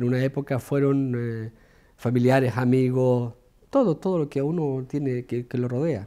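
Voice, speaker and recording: A man talks at a fairly slow pace in a dark, mellow tone. The recording is very clean, with a silent background. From Chile. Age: 40s. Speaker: cameraman, exile. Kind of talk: documentary interview.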